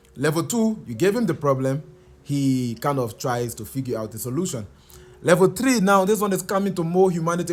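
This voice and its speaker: A man's high voice with a Liberian accent, lively intonation and a fairly quick pace. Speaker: software engineer. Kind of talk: casual explainer talk. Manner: hesitant, repeats words.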